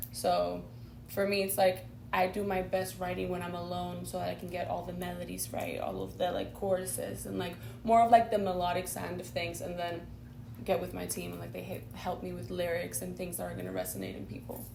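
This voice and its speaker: The delivery is fairly quick with big swings in loudness, and room echo is audible. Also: woman. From Spain. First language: not English (English is her third language). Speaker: singer-songwriter. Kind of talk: interview. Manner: halting, many fillers.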